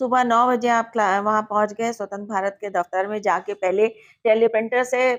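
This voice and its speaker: A woman speaks in a fairly high, flat, monotone voice with hardly any pauses. The recording is very clean, with a silent background. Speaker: radio announcer and journalist. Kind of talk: interview answer.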